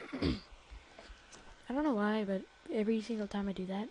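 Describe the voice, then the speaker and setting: A woman's whispering. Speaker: software tutorial youtuber. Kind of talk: tutorial. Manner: hesitant, many fillers.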